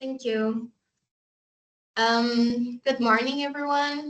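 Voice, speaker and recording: Very slowly, a woman with a Brazilian accent speaks at a fairly high pitch with fairly even intonation. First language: Portuguese. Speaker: oceanographer and NGO waste management specialist. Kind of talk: conference presentation.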